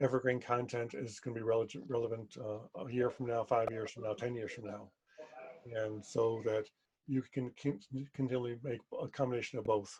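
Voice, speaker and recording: Flat, monotone intonation carries this fairly quick delivery. The voice is somewhat breathy. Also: man, medium pitch for a man. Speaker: video producer and marketing presenter. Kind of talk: webinar presentation. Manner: halting, many false starts.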